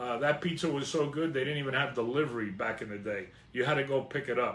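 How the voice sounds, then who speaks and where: A man of medium pitch with a New Jersey accent and ordinary pitch variation, set in audible room echo. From northern New Jersey, Hudson County. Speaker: vlogger. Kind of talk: personal storytelling.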